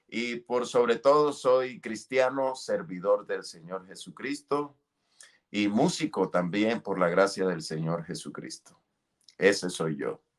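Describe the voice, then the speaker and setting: A man speaks at a very slow pace with a strong Colombian coastal accent. His voice sits at a medium pitch, and his intonation is lively. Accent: Colombian costeño, strong. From Colombia, Caribbean coast (Santander-born). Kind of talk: testimony. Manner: halting, many fillers.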